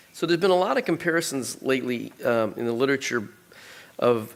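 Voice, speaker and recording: An unremarkable speaking voice from a man, at a moderate pace with ordinary pitch variation. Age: 60s. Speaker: bleeding disorders database researcher. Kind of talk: conference presentation.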